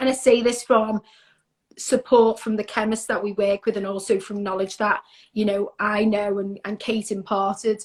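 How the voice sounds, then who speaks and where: The speaker has a Liverpool accent. The intonation stays monotone and flat. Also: woman, fairly high pitch for a woman, moderate pace. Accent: Scouse. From Liverpool, northern England. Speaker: skincare brand representative. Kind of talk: casual interview.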